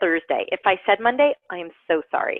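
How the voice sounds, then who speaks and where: A woman talks in an animated tone with very wide pitch swings. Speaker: online course instructor. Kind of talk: online class lecture. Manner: fast.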